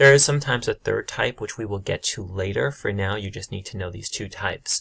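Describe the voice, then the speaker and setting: A man's normal speaking voice, fairly low in pitch, dry and close with no echo, on a very clean recording with a silent background. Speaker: high school teacher. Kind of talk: tutorial.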